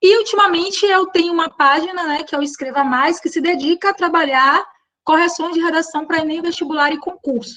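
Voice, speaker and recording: Speaking at a fairly quick pace in a raised, projected voice, a woman with a Bahian accent has an extremely high pitch, a bright, sharp tone and ordinary pitch variation. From Bahia, Brazil. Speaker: teacher. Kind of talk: online workshop. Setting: live online stream.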